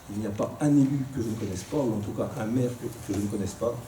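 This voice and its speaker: There is audible room echo as a man speaks at a fairly quick pace. His pitch is medium with ordinary variation. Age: 60s. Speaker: politician. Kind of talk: debate. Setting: live radio debate in a public hall. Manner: hesitant, frequent filler words.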